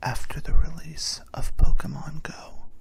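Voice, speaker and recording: The speaker whispers, keeping a fairly slow pace. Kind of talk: ASMR random-facts bedtime narration. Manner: soft, whispered.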